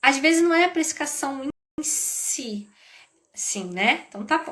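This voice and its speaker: In a raised, projected voice, a woman speaks with a high pitch, lively intonation, an animated tone and a bright, sharp quality. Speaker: business educator. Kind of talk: live stream talk.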